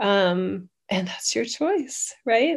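A woman speaks with an American accent. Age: 50s. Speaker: channeler and spiritual teacher. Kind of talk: casual chat. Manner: animated.

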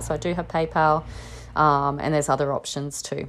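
A woman speaks with an Australian accent. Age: 40s. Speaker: herbalist podcast host. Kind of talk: solo educational talk. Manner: casual, many filler words.

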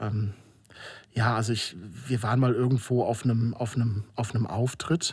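Somewhat breathy, a man speaks at a moderate pace and medium pitch, with very even loudness, fairly even intonation and long, frequent pauses. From Germany, Moselle region (Rhineland-Palatinate). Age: 40s. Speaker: filmmaker. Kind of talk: interview. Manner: hesitant, many filler sounds.

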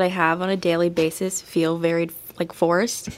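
A woman's fairly low voice at a moderate pace. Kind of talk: interview on live campus radio. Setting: radio studio. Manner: quiet.

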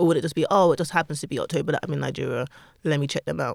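A woman speaks with a London accent. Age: 30s. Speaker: podcast co-host. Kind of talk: casual chat.

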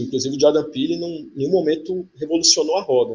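A man talks fairly quickly in a somewhat breathy voice, his pitch varying in an ordinary way. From Campina Grande, Paraíba, Brazil. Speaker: writer and screenwriter. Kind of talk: casual interview chat. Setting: live video podcast.

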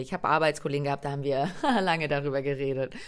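An animated woman with a very deep, low pitch and a slight Berlin accent. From Germany, Hungarian family. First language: Hungarian (speaking German). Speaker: podcast host, coach. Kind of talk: solo podcast monologue.

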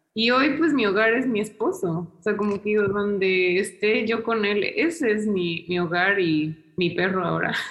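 Noticeable background noise sits behind a woman speaking fairly slowly at medium pitch, with hardly any pauses. Her loudness stays very even and her pitch varies in an ordinary way. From Mexico City, Mexico. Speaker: historian. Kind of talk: interview.

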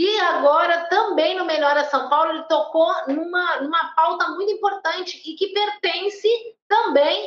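A woman speaks at an extremely high pitch. Her pace is fairly slow and her pitch variation ordinary. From Porto Alegre, southern Brazil. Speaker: livestream co-host. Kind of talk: casual livestream chat.

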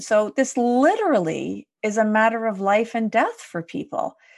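At a moderate pace, a woman with a Canadian accent uses an ordinary speaking voice with ordinary pitch variation against a quiet background. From Quebec, Canada (Montreal area). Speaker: leadership development consultant and podcaster. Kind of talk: casual interview conversation.

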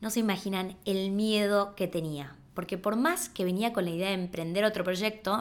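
Medium in pitch for a woman, she speaks at a moderate pace in a plain, everyday voice. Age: 30s. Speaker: podcast host and entrepreneur. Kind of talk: personal storytelling monologue.

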